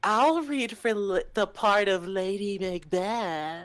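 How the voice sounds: Putting on a character voice, a woman sounds nasal, with lively intonation at medium pitch. She talks at a very slow pace.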